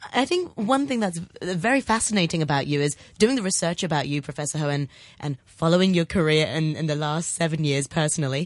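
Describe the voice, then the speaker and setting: Against a quiet background, a woman with a fairly low pitch speaks at a very fast pace in a warm, enthusiastic tone with lively intonation. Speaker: radio host. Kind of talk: radio interview. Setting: radio studio.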